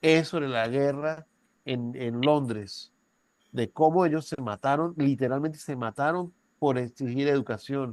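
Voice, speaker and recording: A man with an ordinary speaking voice talks at a fairly slow pace in a fairly high pitch, with ordinary pitch variation. The sound is dry and close with no echo, over a quiet background. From Venezuela. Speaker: university professor. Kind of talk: lecture. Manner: conversational, with frequent tag questions.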